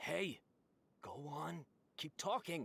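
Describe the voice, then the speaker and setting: A raspy, put-on character voice at a low-to-middle pitch, with very wide pitch swings. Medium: video game.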